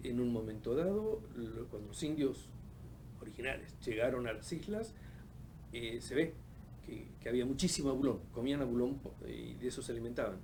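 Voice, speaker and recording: The speech moves at a moderate pace. Room echo can be heard. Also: man. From Argentina, Patagonia (Caleta Olivia, Santa Cruz). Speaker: oceanographer. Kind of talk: interview. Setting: studio. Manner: halting, many fillers.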